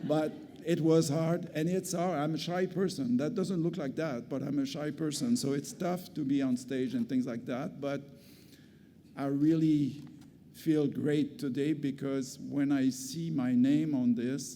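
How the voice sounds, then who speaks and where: A man talks at a fairly slow pace with a fairly high pitch and ordinary pitch variation. Room echo is audible. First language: French. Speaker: community health centre executive, award recipient. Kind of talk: award acceptance speech. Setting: stage with audience at gala. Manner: halting, with hesitations and restarts.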